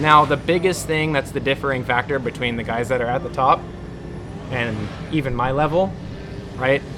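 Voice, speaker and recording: A man speaks at a moderate pace and medium pitch, with ordinary pitch variation. He leaves long, frequent pauses, and background noise is noticeable. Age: 20s. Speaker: RC helicopter pilot. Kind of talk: casual chat.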